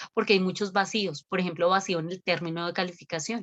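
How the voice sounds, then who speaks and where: The woman's medium-pitched voice sounds dry and close, with no echo. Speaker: lawyer. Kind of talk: webinar Q&A on law. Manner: fast.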